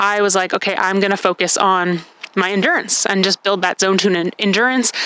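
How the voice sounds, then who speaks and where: A woman talks fairly quickly at a medium pitch, in a monotone, flat intonation. Her loudness stays very even over noticeable background noise. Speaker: CrossFit athlete and vlogger. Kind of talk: casual vlog recap. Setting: outdoors on a deck. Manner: fast.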